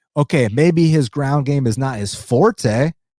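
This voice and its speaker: Dark and mellow in tone, a man with a fairly high pitch talks at a fairly slow pace with ordinary pitch variation, the sound dry and close with no echo on a very clean recording with a silent background. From United States. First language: Spanish. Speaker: MMA podcast host. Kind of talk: live stream recap and chat. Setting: live stream. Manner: animated.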